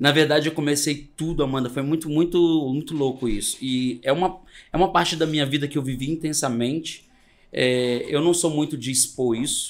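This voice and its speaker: A man has an ordinary speaking voice at a fairly high pitch. He keeps a moderate pace with fairly even intonation. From Brazil, Espírito Santo interior near Minas Gerais. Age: 40s. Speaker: makeup artist. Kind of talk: casual chat.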